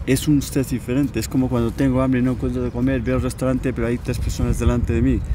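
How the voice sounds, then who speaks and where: Noticeable background noise is present, yet the sound stays dry with no echo. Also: man. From Spain. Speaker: coach teaching a method for removing mental blocks. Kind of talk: casual interview. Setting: outdoors in a park. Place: garden. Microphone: lapel.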